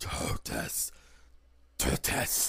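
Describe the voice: A put-on character voice, gravelly and raspy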